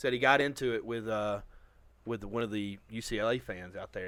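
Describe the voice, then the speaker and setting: A man with a slight Southern US accent speaks at a fairly quick pace and medium pitch. The recording is very clean, with a silent background. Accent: little Southern. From Alabama. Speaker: podcast co-host. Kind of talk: casual chat.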